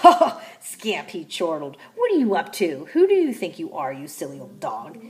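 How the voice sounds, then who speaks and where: A woman puts on a character voice at a fairly high pitch, with very wide pitch swings. She keeps a moderate pace with hardly any pauses. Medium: read story. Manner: jolly, mocking.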